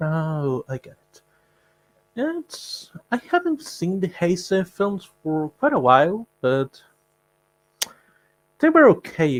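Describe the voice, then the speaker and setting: The speaker has a non-native accent and talks very slowly, with long, frequent pauses, big swings in loudness and very wide pitch swings. The sound is dry and close with no echo. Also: man, high pitch for a man. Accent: non-native English, self-described. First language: not English. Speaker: guest fan. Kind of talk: casual chat.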